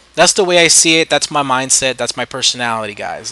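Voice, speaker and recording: Someone talks at a moderate pace with a slight New York City accent. Noticeable background noise runs under the voice. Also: man. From New York City, the Bronx. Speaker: gaming YouTuber. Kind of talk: gameplay commentary. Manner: casual, hesitant with fillers.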